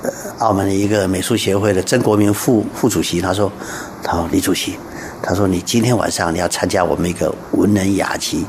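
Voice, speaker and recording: Over noticeable background noise and audible room echo, a man talks at a moderate pace with a fairly low pitch. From Taiwan. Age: 60s. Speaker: art association chairman, painter. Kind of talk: radio interview.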